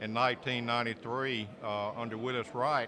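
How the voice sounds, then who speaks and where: Against noticeable background noise, a man speaks with an American accent at a medium pitch. His intonation is monotone and flat, and his pace is moderate. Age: 60s. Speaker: sports play-by-play announcer. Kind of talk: press interview.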